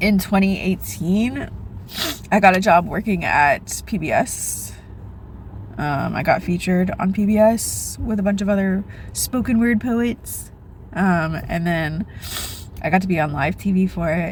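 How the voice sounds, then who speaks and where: Long, frequent pauses break up a woman's speech, with ordinary pitch variation. Noticeable background noise is present. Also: medium pitch for a woman, fairly slow pace. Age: 30s. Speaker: vlogger. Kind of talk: casual chat.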